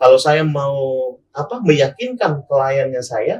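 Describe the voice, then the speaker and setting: The voice is somewhat breathy, with lively intonation at a fairly slow pace. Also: man. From Sorong, Papua, raised also in Manado. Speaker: legal consultant and former TV presenter. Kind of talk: podcast interview.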